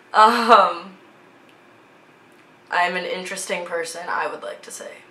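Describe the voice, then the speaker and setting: A woman with an American accent speaks at a moderate pace and a medium pitch, with noticeable background noise and audible room echo. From US Midwest, Minnesota (Twin Cities area). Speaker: vlogger, fashion student. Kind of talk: casual vlog chat.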